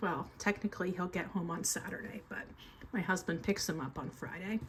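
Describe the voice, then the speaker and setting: Somewhat breathy, a woman speaks at a moderate pace with fairly even intonation over light background noise. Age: 50s. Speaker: budgeting vlogger and teacher; budgeting vlogger, teacher. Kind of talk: casual budgeting vlog. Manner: casual, frequent fillers (um). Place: home room. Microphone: phone near.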